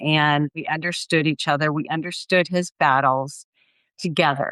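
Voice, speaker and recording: A woman speaks at a fairly low pitch in a plain, everyday voice. The sound is dry and close with no echo, over a quiet background. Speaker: grief and life coach. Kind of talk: interview testimony.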